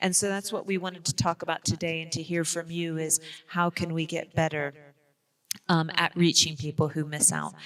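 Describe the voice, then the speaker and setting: Moderate pace and fairly even intonation, with an American accent. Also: woman, fairly low pitch for a woman. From United States. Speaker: public health professional. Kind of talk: conference presentation. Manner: frequent fillers and hesitations.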